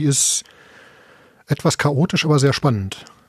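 The man's voice is fairly high in pitch and somewhat breathy, recorded with a dry, close sound and no echo. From Ruhr area, Bochum. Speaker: podcaster. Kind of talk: casual chat.

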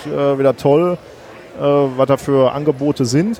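The man's intonation stays fairly even at a medium pitch while noticeable noise fills the background. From Ruhr area, Germany. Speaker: science podcaster. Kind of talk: casual chat. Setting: podcast booth at a congress, under a parasol.

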